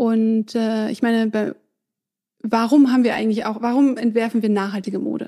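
The woman's tone is dark and mellow. She speaks at a moderate pace in a monotone, flat intonation. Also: fairly high pitch for a woman. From southern Germany. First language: French (speaking German). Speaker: fashion entrepreneur. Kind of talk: interview.

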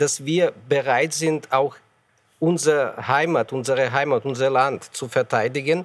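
Fairly even intonation and a fairly high pitch mark a man who speaks at a fairly slow pace. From Ukraine. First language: Ukrainian or Russian (speaking German). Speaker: ambassador. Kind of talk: panel debate. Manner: halting.

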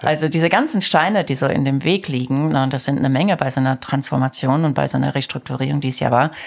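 Noticeable background noise sits behind a woman with a very deep, low pitch. She talks at a very fast pace with hardly any pauses. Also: ordinary pitch variation, very even loudness. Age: 50s. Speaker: company CEO. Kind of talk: interview. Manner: animated.

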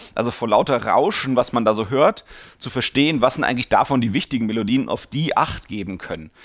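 A man's medium-pitched voice at a fairly quick pace, with lively intonation. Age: 40s. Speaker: podcast host answering listener questions. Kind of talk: Q&A podcast monologue. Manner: many fillers and hesitations.

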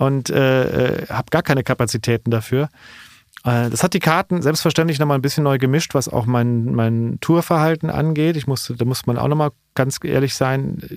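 Recorded dry and close with no echo in a very clean recording with a silent background, a man has an ordinary speaking voice at a medium pitch, with ordinary pitch variation and a moderate pace. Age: 40s. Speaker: stand-up comedian. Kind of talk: casual chat. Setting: studio.

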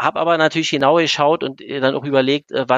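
Over a quiet background, a man speaks very fast with fairly even intonation, in a dry, close sound with no echo. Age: 50s. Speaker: owner of an engineering firm. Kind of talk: podcast interview. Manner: hesitant, many fillers.

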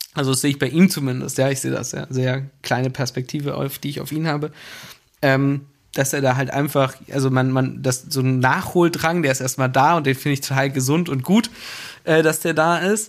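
In a plain, everyday voice, a man of fairly high pitch talks at a fairly quick pace with fairly even intonation, on a very clean recording with a silent background. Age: 30s. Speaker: business executive. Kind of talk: casual interview. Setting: studio in a basement.

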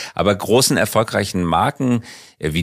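A man's very deep, low voice at a fairly slow pace, lively in intonation, on a very clean recording with a silent background. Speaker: podcast host. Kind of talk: interview, conversational.

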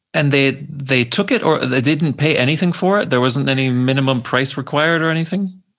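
An ordinary speaking voice from a man, fairly high in pitch, with ordinary pitch variation, very even loudness and a fairly quick pace. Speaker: podcast co-host. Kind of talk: interview conversation.

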